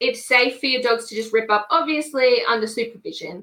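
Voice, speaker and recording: In an Australian accent, a woman speaks at a high pitch. Her pace is moderate. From Queensland, Australia. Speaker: small business owner. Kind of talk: casual interview. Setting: live stream video call.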